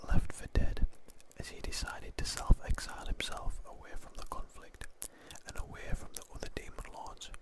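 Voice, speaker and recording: Whispering over noticeable background noise, a man's loudness swings sharply. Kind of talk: sleep story. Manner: whispered.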